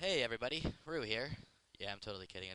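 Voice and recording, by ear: A man uses a squeaky, put-on character voice at medium pitch. He talks at a very fast pace with lively intonation.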